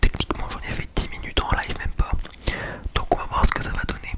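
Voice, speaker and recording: Whispering at a very fast pace, a man is heard over noticeable background noise. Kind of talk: casual talk to camera.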